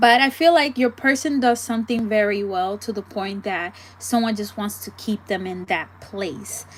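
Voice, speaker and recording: Her voice is somewhat breathy. The woman's pitch shows ordinary variation. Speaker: tarot reader. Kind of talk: live tarot reading. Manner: casual, chatty.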